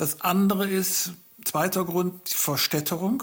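Fairly slow in pace, a man is speaking. His intonation stays fairly even. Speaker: farmer and agricultural engineer, author. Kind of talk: interview. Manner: halting.

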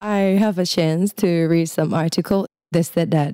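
Dry and close with no echo, a woman's fairly low voice carries a dark, mellow tone and fairly even intonation. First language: Thai. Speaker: creative freelancer. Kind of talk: interview. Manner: lighthearted, laughs often.

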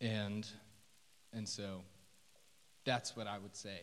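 The speaker is a man. His accent is American. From Oklahoma City. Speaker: first-year teacher. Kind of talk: testimony. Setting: church stage.

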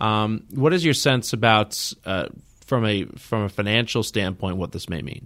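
A man with an ordinary speaking voice and fairly low pitch talks with lively intonation at a moderate pace, in a very clean recording with a silent background. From New York area. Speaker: podcast host. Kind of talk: interview.

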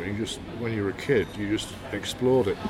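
Amid noticeable background noise and audible room echo, a man with a fairly low pitch talks at a moderate pace with fairly even intonation. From northern England, Hull. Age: 60s. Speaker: poet and author. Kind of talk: interview.

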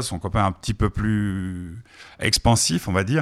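Heard in a very clean recording with a silent background, an unremarkable speaking voice with ordinary pitch variation comes across dry and close with no echo. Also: man. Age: 60s. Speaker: radio host. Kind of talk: radio chat.

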